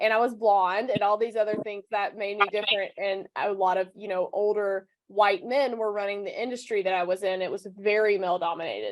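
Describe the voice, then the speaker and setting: A woman with a Southern US accent at a fairly quick pace. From US South. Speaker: personal branding coach. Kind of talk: interview. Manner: animated.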